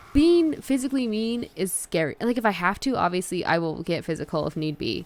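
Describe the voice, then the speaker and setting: In an American accent, the speaker talks at a fairly quick pace with very wide pitch swings. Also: woman, medium pitch for a woman. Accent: Southern, heavier when angry. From US South. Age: 20s. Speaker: video game streamer. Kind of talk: casual chat.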